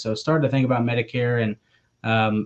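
A man's voice at a moderate pace with fairly even intonation. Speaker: remote podcast guest. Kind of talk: interview answer. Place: home room. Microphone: video call.

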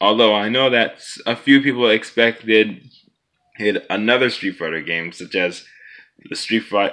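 Over a quiet background, a man talks with lively intonation and a bright, sharp tone. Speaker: gaming vlogger. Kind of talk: casual vlog chat. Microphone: phone near.

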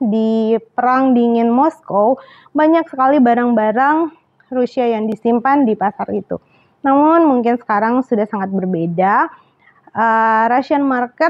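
Speaking fairly slowly, the woman uses a high-pitched voice. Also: ordinary pitch variation. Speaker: travel vlogger. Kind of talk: casual vlog chat. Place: home room. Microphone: lapel.

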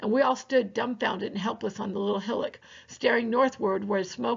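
Pitch moves in an ordinary way. The delivery is an unforced reading voice.

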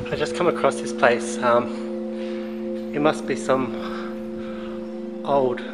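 A man is talking. Music plays in the background. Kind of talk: casual exploration commentary. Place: open country. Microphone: phone near.

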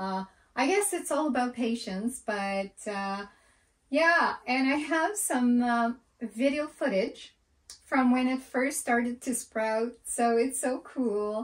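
Against a quiet background, the speech unfolds at a very slow pace. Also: woman, high pitch for a woman. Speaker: homesteader vlogger. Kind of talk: casual vlog chat. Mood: relaxed, warm. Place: home room. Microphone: camera far.

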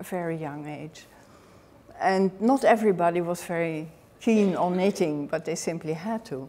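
Delivered with a Dutch accent, the speech moves at a fairly slow pace with lively intonation. Loudness swings widely. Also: woman. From Netherlands. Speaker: author and knitting historian. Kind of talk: lecture. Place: hall.

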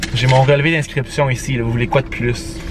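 Music plays behind a man who talks at a moderate pace in a monotone, flat intonation, the sound dry with no echo. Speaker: student vlogger. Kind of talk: casual vlog chat. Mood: mildly annoyed. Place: car. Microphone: phone near.

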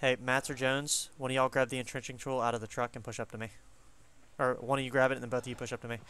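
Bright and sharp in tone, a man talks very fast in a flat monotone, the sound dry with no echo. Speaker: gaming squad leader. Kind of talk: tactical game comms. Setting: online voice chat. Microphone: headset.

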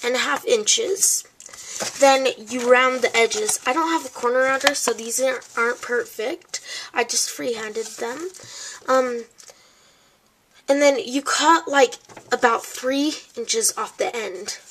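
Noticeable background noise surrounds a woman with a high pitch and lively intonation. She speaks fairly slowly, leaving long, frequent pauses. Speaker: crafting YouTuber. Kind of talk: tutorial. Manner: halting, many fillers.

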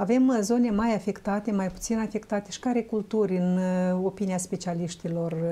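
A woman with a somewhat breathy, medium-pitched voice talks at a moderate pace with fairly even intonation. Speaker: talk show host. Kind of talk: studio talk show interview. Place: studio. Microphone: lapel.

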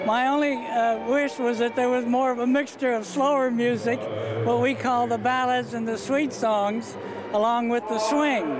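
Over noticeable background noise, a man speaks at a moderate pace, the sound dry with no echo. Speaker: war veteran. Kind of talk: interview answer. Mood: warm, friendly, reflective. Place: hall. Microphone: handheld.

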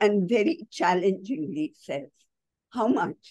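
A woman's vocal fry and dark, mellow tone, very wide pitch swings, dry sound with no echo, and a quiet background. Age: 80s+. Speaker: writer and cultural columnist; guest. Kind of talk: online talk Q&A. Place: home room. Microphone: video call.

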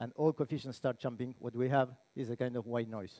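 The man's voice has a dark, mellow tone. He speaks at a moderate pace. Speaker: conference speaker. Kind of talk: lecture. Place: hall. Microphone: headset.

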